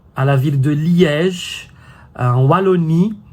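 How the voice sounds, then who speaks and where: With lively intonation, a man speaks in a voice that is somewhat breathy. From Brazil. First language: Brazilian Portuguese (speaking French). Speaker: French teacher and YouTuber. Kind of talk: casual vlog talk to camera. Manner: hesitant, many fillers.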